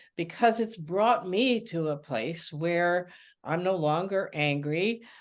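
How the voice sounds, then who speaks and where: At a very slow pace, a woman speaks in a fairly low pitch with lively intonation. The background is quiet. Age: 80s+. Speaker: emotions coach and author. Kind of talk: webinar talk. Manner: halting, some stammering.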